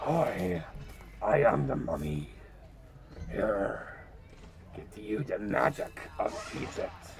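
A put-on character voice goes at a very slow pace with long, frequent pauses over clear background noise. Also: man.

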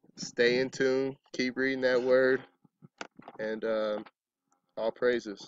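With an American accent, a man speaks in a monotone, flat intonation at a fairly slow pace, with a dry sound with no echo and light background noise. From Arizona. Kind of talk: testimony. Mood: calm, reflective. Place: open country. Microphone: phone near.

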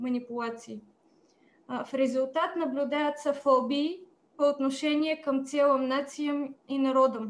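With a Bulgarian accent, a woman speaks in a high pitch at a fairly slow pace and with fairly even intonation. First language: Bulgarian (speaking Russian). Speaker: politician. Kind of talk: prepared speech. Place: home room. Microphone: video call.

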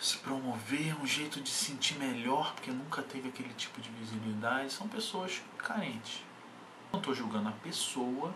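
Moderate-paced speech from a man against noticeable background noise. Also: ordinary pitch variation. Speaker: bodybuilding coach. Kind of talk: casual vlog chat. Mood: irritated, ranting. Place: home room. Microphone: webcam.

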